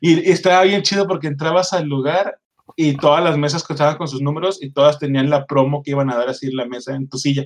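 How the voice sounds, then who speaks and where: A man talks at a very fast pace. His fairly high voice keeps a fairly even intonation. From Mexico, Monterrey. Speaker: podcast host. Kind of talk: casual chat.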